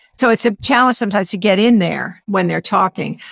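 A woman's plain, everyday voice at medium pitch, dry and close with no echo. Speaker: author and speaker on introversion. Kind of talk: podcast interview.

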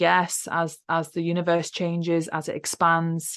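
With an English accent, a woman speaks at a fairly low pitch over a quiet background. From UK. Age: 30s. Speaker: spiritual podcast host and teacher. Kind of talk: casual chat.

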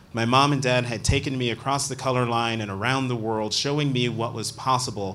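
The voice is an unremarkable speaking voice. Its intonation stays fairly even. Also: man. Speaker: journalist and interviewer. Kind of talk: onstage interview. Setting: stage with audience.

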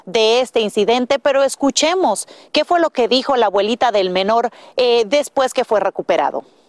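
A woman with a plain, everyday voice, fairly high pitch and ordinary pitch variation, moderate pace, dry, close sound with no echo, very clean recording, silent background. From Dominican Republic. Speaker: TV news reporter. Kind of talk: news report.

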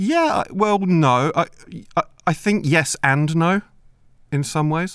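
A man with a British accent speaks in a high voice. His pace is very slow, with long, frequent pauses. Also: very even loudness. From Britain. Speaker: comedy podcast co-host, children's author. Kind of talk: deadpan mock-documentary comedy chat.

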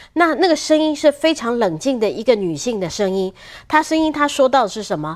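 A woman speaks high with very wide pitch swings in a very clean recording with a silent background. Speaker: senior journalist. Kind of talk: political talk show commentary.

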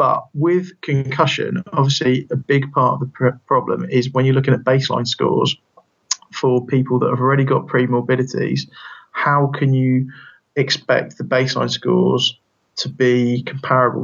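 A man with an English accent at a moderate pace. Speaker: physiotherapy lecturer and researcher. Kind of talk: interview.

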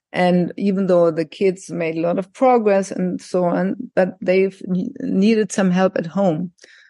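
With a German accent, a woman speaks at a fairly slow pace in a dark, mellow tone with ordinary pitch variation, in a dry, close sound with no echo. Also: medium pitch for a woman. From Germany, countryside. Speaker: psychologist and life coach. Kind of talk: interview.

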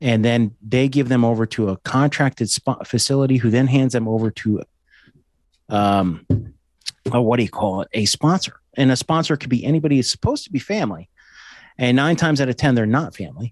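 A man with an unremarkable speaking voice talks fairly quickly at medium pitch with ordinary pitch variation. The sound is dry and close with no echo, over a quiet background. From small-town New Jersey. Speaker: law enforcement officer and podcast host. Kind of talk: casual chat.

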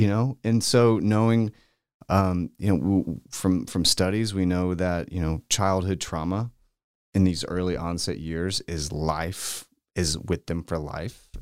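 A fairly slow delivery with ordinary pitch variation, on a very clean recording with a silent background and a dry, close sound with no echo. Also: man, very deep, low pitch for a man. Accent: American. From Texas, Austin. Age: 30s. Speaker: children's pastor. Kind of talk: casual chat. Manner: halting.

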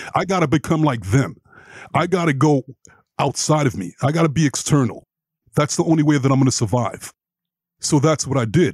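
Talking at a fairly quick pace with long, frequent pauses, a man in an American accent has a fairly high, somewhat breathy voice with ordinary pitch variation. The sound is dry and close, with no echo. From New York, Brooklyn. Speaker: life and relationship coach. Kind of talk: interview.

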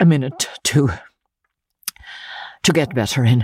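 Doing a put-on character voice at an extremely low pitch, a woman speaks fairly slowly with a slightly husky edge and slightly mellow tone, in a dry, close sound with no echo. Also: ordinary pitch variation.

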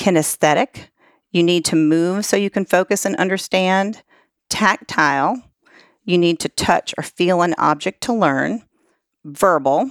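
A plain, everyday voice moves at a fairly slow pace with ordinary pitch variation. The sound is dry and close with no echo, on a very clean recording with a silent background. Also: woman. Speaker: life coach. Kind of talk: casual interview chat.

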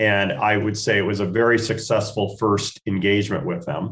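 In an American accent, a man with an unremarkable speaking voice talks at a moderate pace and fairly low pitch, his intonation fairly even. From US Northwest, Spokane, Washington. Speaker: golf tournament foundation chairman. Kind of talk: radio interview.

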